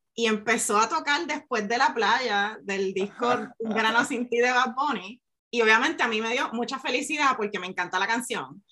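Here is a woman with a normal speaking voice and fairly high pitch. She talks at a moderate pace with ordinary pitch variation and hardly any pauses. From Puerto Rico, rural north coast. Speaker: science communicator and neuroscientist. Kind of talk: interview conversation.

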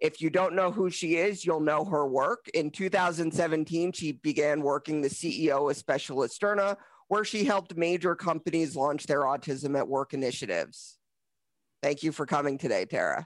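Against a quiet background, a man with a plain, everyday voice speaks at a moderate pace and fairly high pitch, keeping very even loudness and ordinary pitch variation. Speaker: financial planner and podcast host. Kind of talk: interview.

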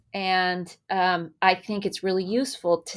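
Over a very clean recording with a silent background, a woman with a General American accent uses an ordinary speaking voice, medium in pitch, at a fairly slow pace. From California, Berkeley. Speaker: professor, author. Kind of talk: interview.

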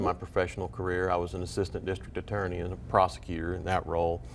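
The speech comes in a Texan accent. The pace is very fast. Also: man. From Waco, Texas. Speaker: appeals court judge and author. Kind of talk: interview. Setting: studio.

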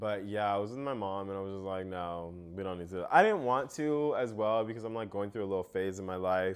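An animated man with an American accent speaks at a fairly low pitch with ordinary pitch variation, a fairly quick pace and hardly any pauses. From United States. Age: 20s. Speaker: podcast host. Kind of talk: casual chat.

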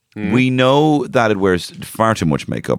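A man at a fairly slow pace with a Dublin accent. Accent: Dublin, Irish. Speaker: podcast co-host. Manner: casual, joking, profane.

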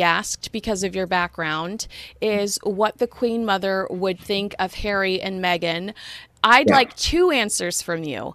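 An ordinary speaking voice with an American accent at a fairly slow pace, in a dry, close sound with no echo. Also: woman, very clean recording, silent background. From Los Angeles, US. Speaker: podcast host. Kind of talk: casual interview chat.

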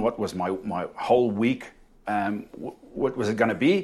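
A man with a South African accent. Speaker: inspirational speaker and electrical shock survivor. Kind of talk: casual interview, telling a personal story.

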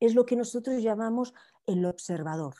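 In a very clean recording with a silent background, a woman with a Barcelona accent speaks in a dark, mellow tone with lively intonation. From Spain, Barcelona. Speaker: life coach. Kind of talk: interview.

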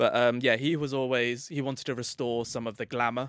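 An English accent in a very clean recording with a silent background. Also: man. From England. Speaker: football author and club expert. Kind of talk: casual podcast chat.

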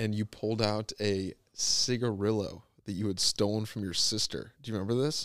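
A man with a fairly low voice speaks in a fairly even intonation with hardly any pauses, on a very clean recording with a silent background. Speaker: podcast host. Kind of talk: casual chat. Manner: fast.

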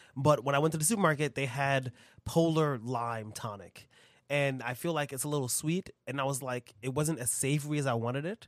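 A man talks with a fairly high pitch that varies by an ordinary amount. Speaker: bartender and podcast co-host. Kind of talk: casual chat. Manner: lowered radio voice at one point.

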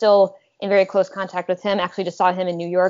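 A woman with a plain, everyday voice, medium pitch and an American accent, at a fairly quick pace. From Minnesota, US. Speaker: professor. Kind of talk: interview.

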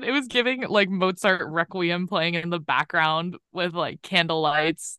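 A woman with an ordinary speaking voice, fairly low in pitch, at a fairly slow pace, in a dry, close sound with no echo. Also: quiet background. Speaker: recent college graduate. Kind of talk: casual chat. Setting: video call.

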